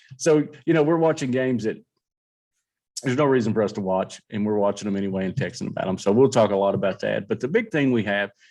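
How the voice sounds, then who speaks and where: Against a quiet background, a man with a Kentucky accent talks at a very fast pace with lively intonation. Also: medium pitch for a man. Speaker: sports podcast host. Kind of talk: casual chat.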